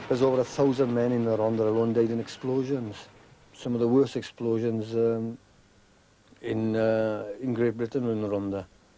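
A man with a South Wales accent, a dark, mellow tone, monotone, flat intonation and a moderate pace. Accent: South Wales valleys. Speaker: coal miner. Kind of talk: interview discussion. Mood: somber, reflective about disasters. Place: tunnel cave.

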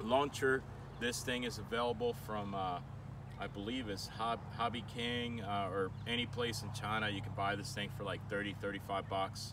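Over noticeable background noise, a man speaks with a fairly low pitch, fairly even intonation and a bright, sharp tone. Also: moderate pace, dry sound with no echo. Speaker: presenter. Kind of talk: tutorial. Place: open country.

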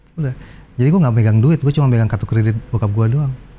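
A man speaks in a dark, mellow tone that is somewhat breathy, with ordinary pitch variation. Light background noise can be heard. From Indonesia. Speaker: guitarist and guitar teacher; guitar teacher. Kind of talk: casual interview chat. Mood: relaxed storytelling. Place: studio. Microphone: lapel.

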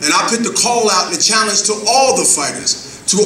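Light background noise and audible room echo around a man's moderately paced speech. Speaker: professional boxer. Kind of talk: press conference speech. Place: hall. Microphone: podium.

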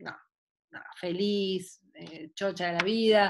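Against a quiet background, a woman speaks in a Buenos Aires accent. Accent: porteño Argentine Spanish. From Buenos Aires, Argentina; Argentina. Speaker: sports psychologist. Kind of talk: online talk. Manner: animated. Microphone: video call.

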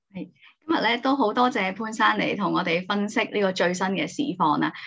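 A woman talks at a fairly quick pace. Her pitch shows ordinary variation. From Hong Kong. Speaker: channel host. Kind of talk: interview. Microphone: video call.

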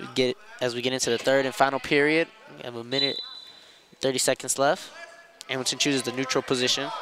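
Very fast, upbeat speech from a man at medium pitch, with big swings in loudness, long, frequent pauses and noticeable background noise. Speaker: wrestling commentator. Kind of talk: live sports commentary on a wrestling match. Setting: gym broadcast with headset, live event. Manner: play-by-play, rapid and descriptive, upbeat.

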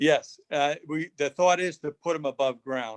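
A man speaks at a moderate pace and a fairly high pitch in a clear, smooth tone with ordinary pitch variation, the sound dry and close with no echo.

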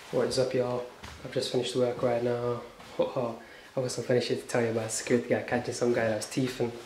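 A man with a medium-pitched voice at a very fast pace, his intonation monotone and flat, with audible room echo. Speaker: vlogger. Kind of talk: casual vlog talk.

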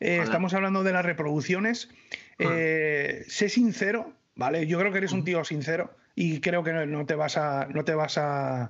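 At a moderate pace, a man speaks with a high pitch and very even loudness. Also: quiet background. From northern Spain. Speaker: YouTuber, knife reviewer. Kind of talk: casual chat. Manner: animated. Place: home room. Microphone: studio mic.

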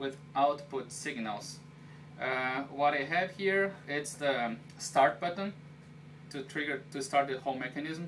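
Noticeable background noise behind a man's fairly slow delivery. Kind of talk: casual tour explanation. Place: office. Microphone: camera far.

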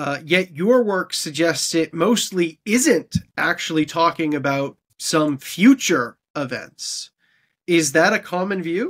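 Against a quiet background, a man with a Canadian accent talks at a very slow pace, his high pitch carried by lively intonation. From Canada. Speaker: podcast host. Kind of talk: interview. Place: home room.

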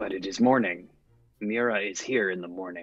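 A man performs a put-on character voice. It sits fairly low in pitch. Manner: simple, earnest, sad.

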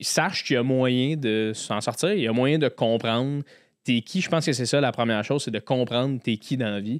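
A man with a Quebec accent is heard against a quiet background, the sound dry with no echo. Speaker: podcast host and comedian; podcast host, comedian. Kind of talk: casual interview. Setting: studio. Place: studio. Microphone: studio mic.

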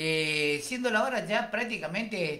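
With a bright, sharp tone, a man talks in lively intonation. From Argentina, Chaco. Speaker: radio host. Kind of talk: radio interview. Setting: radio studio. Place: studio. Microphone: studio mic.

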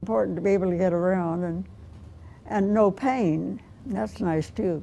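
Light background noise sits behind a woman with a dark, mellow tone. Her pitch is fairly low and her intonation lively. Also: moderate pace. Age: 80s+. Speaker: yoga student, centenarian. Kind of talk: interview answer. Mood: cheerful, content. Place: hall. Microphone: lapel.

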